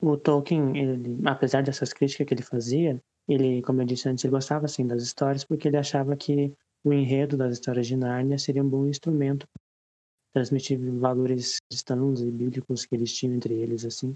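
A man talks at a fairly quick pace with monotone, flat intonation. His dark, mellow tone comes through with a dry, close sound with no echo. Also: medium pitch for a man. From Rio Grande do Sul, Brazil. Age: 20s. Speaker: literature student. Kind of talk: casual group discussion.

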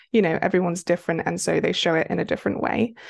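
A woman's medium-pitched voice with a British accent and ordinary pitch variation against a quiet background. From United Kingdom. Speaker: romance author. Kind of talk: casual interview chat.

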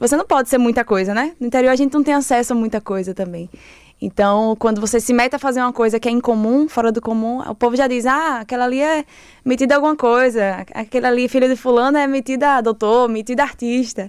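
In a very clean recording with a silent background, a woman speaks very fast at a high pitch with ordinary pitch variation. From Sergipe countryside, Lagarto (Brazilian Northeast). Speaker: theatre director. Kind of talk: interview. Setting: studio.

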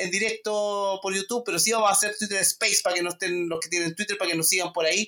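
A man with a Chilean accent uses a raised, projected voice at a high pitch with fairly even intonation. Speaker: podcast host. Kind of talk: casual political chat. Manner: halting, many fillers.

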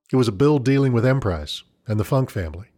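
A dark, mellow voice carries a serious tone in a very clean recording with a silent background. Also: man. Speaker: narrator. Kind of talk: true-crime narration. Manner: measured, grave storytelling pace; steady, matter-of-fact, serious.

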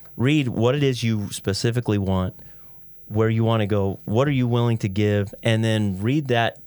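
A man speaks in an ordinary speaking voice with an American accent, at medium pitch and a moderate pace. The recording is very clean, with a silent background. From Idaho, US. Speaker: entrepreneur. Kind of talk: interview.

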